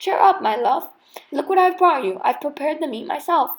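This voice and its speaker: In a loud, put-on character voice, a woman talks fairly quickly at a high pitch, her tone swinging very widely up and down. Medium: read story. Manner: loud, blustering.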